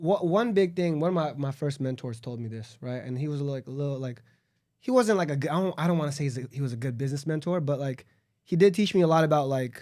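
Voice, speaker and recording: A man with a Southern California accent talks at a very fast pace in a dark, mellow tone. The recording is very clean, with a silent background. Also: fairly high pitch for a man, ordinary pitch variation. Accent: Southern California urban American. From Los Angeles suburb, California. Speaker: entrepreneur. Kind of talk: casual chat.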